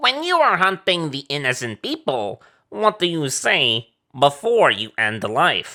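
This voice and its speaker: Using a put-on character voice, a man speaks at a moderate pace with fairly high pitch on a very clean recording with a silent background. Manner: broken third-person speech.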